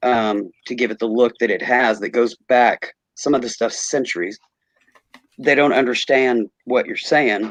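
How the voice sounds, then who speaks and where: Fairly slow and fairly even, a man speaks at medium pitch with an American accent. The sound is dry and close, with no echo. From US, picked up Southern in Nashville. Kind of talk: casual chat.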